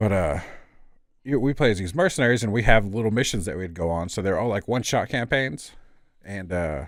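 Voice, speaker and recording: Over a silent background in a very clean recording, a man with an American accent speaks in a fairly low voice with lively intonation. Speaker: gaming podcast host. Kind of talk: casual chat.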